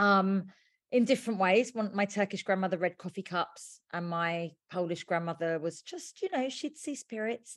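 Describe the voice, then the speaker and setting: A woman speaks at a moderate pace against a quiet background, her pitch medium with ordinary variation. It is an ordinary speaking voice. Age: 40s. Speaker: witch and author. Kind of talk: casual interview.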